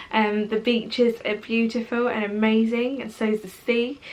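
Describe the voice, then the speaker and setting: With a British accent, a woman with a fairly high pitch talks at a moderate pace in a monotone, flat intonation over noticeable background noise. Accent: British, hardly any foreign. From Portugal until age ten, then England. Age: 20s. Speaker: vlogger. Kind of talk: casual vlog talk to camera.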